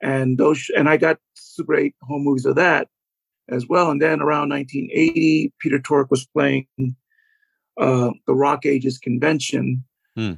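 In an ordinary speaking voice, a man talks at a fairly slow pace with fairly high pitch and fairly even intonation, the sound dry and close with no echo. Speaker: author and fan. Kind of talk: casual interview.

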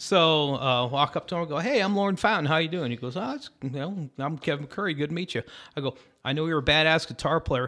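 A man with an American accent talks very fast at a fairly high pitch, his pitch varying in an ordinary way. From Syracuse, New York. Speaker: pedal steel guitarist. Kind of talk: casual chat. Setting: rehearsal studio.

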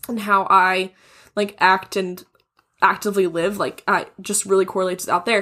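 On a very clean recording with a silent background, a woman speaks in a bright, sharp tone with monotone, flat intonation. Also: medium pitch for a woman, moderate pace. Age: 20s. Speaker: podcast guest, host's friend. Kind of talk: casual chat.

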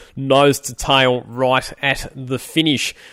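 The speaker is a man with an Australian accent. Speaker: podcast host and motorsport commentator. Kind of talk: casual chat.

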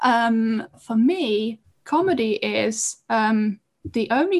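A woman talks at a fairly high pitch, her voice somewhat breathy. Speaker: stand-up comedian. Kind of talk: casual chat.

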